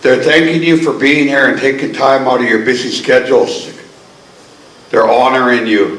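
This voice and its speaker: There is noticeable background noise and audible room echo as a man speaks at a moderate pace. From Coast Salish, BC, Canada. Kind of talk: ceremonial welcome speech. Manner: warm, earnest.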